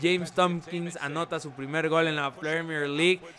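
An enthusiastic man's voice against noticeable background noise. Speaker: gaming YouTuber. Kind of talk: live sports commentary over video game footage. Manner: excitable, animated play-by-play with exclamations; fast, enthusiastic, pointing out players and plays.

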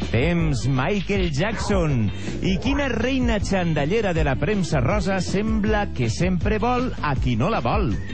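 Over music in the background, a man speaks at a very slow pace with very even loudness. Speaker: game show off-screen announcer. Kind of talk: TV quiz show voice-over.

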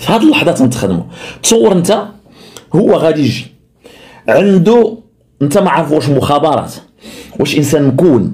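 Against a quiet background, the speaker moves at a moderate pace with long, frequent pauses, very wide pitch swings and very even loudness. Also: man, fairly high pitch for a man. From Morocco. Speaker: social media commentator; political commentator. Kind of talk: political commentary. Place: home room.

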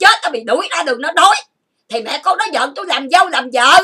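A woman's raised, projected voice, extremely high in pitch and bright, sharp in tone, at a fairly quick pace. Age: 50s. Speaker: YouTuber. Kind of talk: emotional rant. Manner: animated.

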